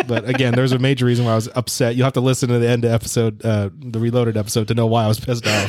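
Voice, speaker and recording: A man talks very fast with hardly any pauses, in a monotone, flat intonation. His loudness stays very even against noticeable background noise. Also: medium pitch for a man. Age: 30s. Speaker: podcast co-host, movie reviewer. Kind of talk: casual chat.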